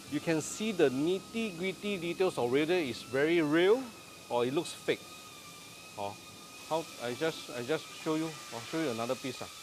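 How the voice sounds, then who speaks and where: Noticeable background noise sits behind a man speaking with a Singaporean accent at a moderate pace. His fairly high voice has lively intonation, broken by long, frequent pauses. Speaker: renovation contractor and interior designer. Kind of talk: casual live stream walkthrough. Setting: countertop fabrication factory, live video. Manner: animated.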